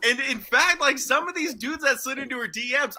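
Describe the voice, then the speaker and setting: A man's bright, sharp voice is raised and projected, animated in tone, fairly quick, and has ordinary pitch variation. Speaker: sports podcast co-host. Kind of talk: casual chat. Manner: loud.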